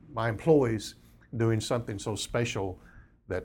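A man's fairly low, somewhat breathy voice. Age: 60s. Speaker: business founder, lawn care entrepreneur. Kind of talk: interview, casual conversation.

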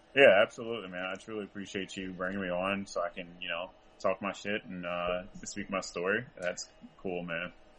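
A man with an American accent, very deep and low in pitch, fairly quick pace, flat monotone intonation. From US South, rural North Carolina. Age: 20s. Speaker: powerlifter. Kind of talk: casual interview. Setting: call.

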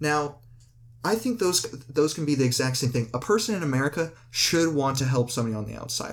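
At a fairly quick pace, a man in a plain, everyday voice speaks with lively intonation at a fairly high pitch. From Canada. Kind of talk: casual debate.

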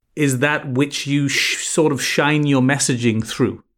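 A man with an American accent talks at a fairly slow pace and a fairly high pitch. The recording is very clean, with a silent background. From England. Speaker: branding agency CEO. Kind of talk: interview conversation.

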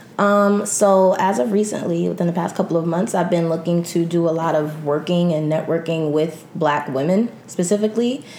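A woman's fairly low voice with hardly any pauses, ordinary pitch variation and very even loudness, over noticeable background noise. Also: moderate pace. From New York City. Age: 20s. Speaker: secretary and aspiring publicist. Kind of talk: casual chat.

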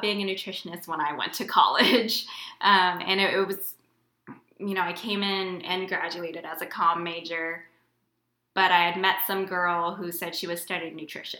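A woman speaks at medium pitch and a moderate pace. Audible room echo is present. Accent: American. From Houston, Texas. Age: late 20s. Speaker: tech worker, aspiring dietitian. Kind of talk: casual chat.

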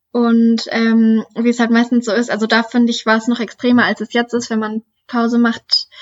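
Her intonation monotone and flat, a woman talks at a moderate pace with a fairly high pitch. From Lower Saxony, Germany (Duderstadt). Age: 20s. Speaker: trail runner and student. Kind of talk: interview.

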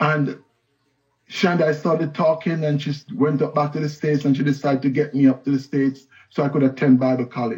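A somewhat breathy man's voice, fairly high in pitch, with a fairly quick pace and ordinary pitch variation. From Jamaica, Kingston. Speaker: pastor. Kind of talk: sermon.

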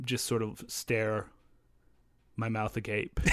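Here a man is talking. His pace is fairly slow. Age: 30s. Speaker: podcast host. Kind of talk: casual chat.

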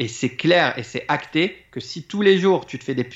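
A man, in an ordinary speaking voice, keeps a fairly quick pace and ordinary pitch variation. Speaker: public speaking coach. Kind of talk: casual interview.

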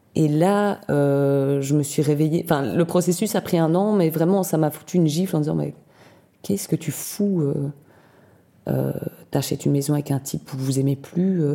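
Over a silent background in a very clean recording, a woman speaks with a very deep, low pitch. Her tone is dark and mellow, her pace moderate, and her pitch varies in an ordinary way. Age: 40s. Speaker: carpenter. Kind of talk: interview testimony. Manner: halting, many repetitions and hesitations.

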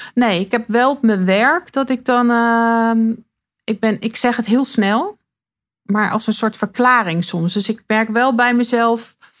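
On a very clean recording with a silent background, a woman talks at a very slow pace and fairly high pitch, with fairly even intonation and very even loudness. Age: 40s. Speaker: interviewee sharing coming-out story. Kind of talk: personal interview. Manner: halting.

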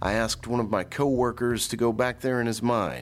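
The speaker has a Mississippi accent and talks at a moderate pace. The recording is very clean, with a silent background. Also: man. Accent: US Southern (Mississippi). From Mississippi (Jackson). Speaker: podcast host and TV journalist. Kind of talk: scripted true-crime narration.

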